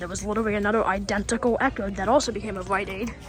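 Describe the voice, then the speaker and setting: A man whispering over noticeable background noise. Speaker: store tour vlogger. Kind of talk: walking tour vlog. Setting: inside a retail store. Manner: hesitant, many fillers.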